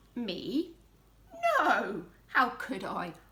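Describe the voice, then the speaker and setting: Using a put-on character voice, a woman projects loudly at a high pitch with very wide pitch swings. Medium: read story. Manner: matter-of-fact.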